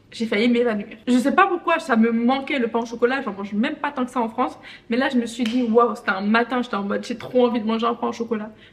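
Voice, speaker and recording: A woman's fairly high, animated voice at a very fast pace, with ordinary pitch variation over noticeable background noise. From Benin. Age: 20s. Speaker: vlogger. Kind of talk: casual vlog monologue.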